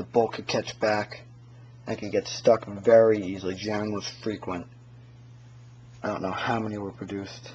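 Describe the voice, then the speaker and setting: A mumbling man with a fairly low pitch and monotone, flat intonation. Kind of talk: casual gear review to camera. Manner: mumbling, hesitant.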